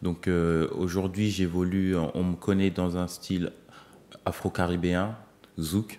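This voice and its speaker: A man speaks very slowly in a very deep, low voice. His intonation is monotone and flat, and his tone dark and mellow. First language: Lingala (speaking French). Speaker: singer-songwriter. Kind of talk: TV interview. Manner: hesitant, many fillers.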